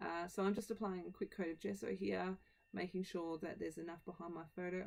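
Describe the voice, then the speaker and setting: Very fast speech comes from a woman. She has an Australian accent. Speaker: scrapbooking video creator. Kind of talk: tutorial voiceover. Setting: home voiceover.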